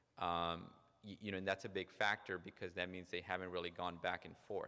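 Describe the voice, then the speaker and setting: With a slight non-native accent, a man with a very deep, low pitch and a bright, sharp tone talks at a very fast pace. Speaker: psychologist. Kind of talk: lecture. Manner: frequent repetitions and false starts.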